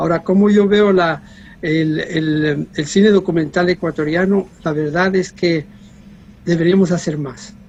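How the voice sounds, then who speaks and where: Fairly slow in pace, a man speaks at a high pitch. His intonation stays fairly even. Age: 60s. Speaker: documentary filmmaker. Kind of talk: interview. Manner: halting, many repetitions.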